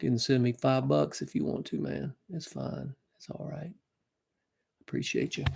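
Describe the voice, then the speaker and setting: A man with a Southern US accent speaks at a moderate pace, his loudness swinging widely, with long, frequent pauses. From Alabama. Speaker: singer-songwriter. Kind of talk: casual chat. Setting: livestream.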